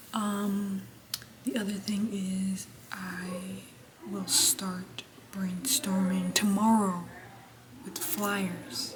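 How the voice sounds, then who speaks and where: A woman speaks at medium pitch and a very slow pace, with ordinary pitch variation and long, frequent pauses. Audible room echo and noticeable background noise surround her. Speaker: vlogger, university intern. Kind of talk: casual vlog. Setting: walking indoors at workplace. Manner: soft-spoken.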